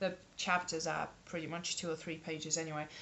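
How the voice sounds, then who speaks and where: Noticeable background noise is present throughout. A woman speaks at a moderate pace. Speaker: book vlogger. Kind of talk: casual talk to camera.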